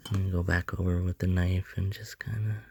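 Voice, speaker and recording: A somewhat breathy man speaks at a fairly low pitch and a moderate pace. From Canada. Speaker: sculptor. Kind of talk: tutorial. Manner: casual.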